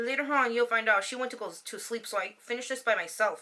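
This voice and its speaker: A woman talks at a very fast pace in a bright, sharp, animated tone and a high pitch. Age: 30s. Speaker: YouTube vlogger. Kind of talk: casual chat.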